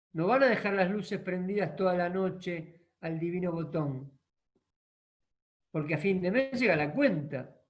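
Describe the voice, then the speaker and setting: Speaking fairly slowly, a man uses a high pitch with ordinary variation. He leaves long, frequent pauses, and room echo is audible. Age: 60s. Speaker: equine therapy and social organization expert. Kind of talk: online masterclass talk.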